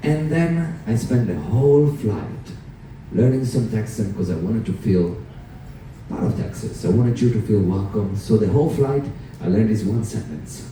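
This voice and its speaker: A man with an Italian accent speaks at a moderate pace with lively intonation. Noticeable background noise and audible room echo fill the recording. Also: medium pitch for a man. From Sicily, Italy. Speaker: cruise director. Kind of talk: stage show hosting. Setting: theater stage with audience. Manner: animated; loud.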